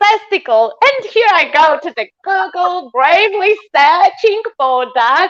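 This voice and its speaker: Speaking very slowly with a Polish accent, a woman uses an extremely high pitch and very wide pitch swings, and the sound is dry and close with no echo. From Poland. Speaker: sculptor. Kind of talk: casual chat.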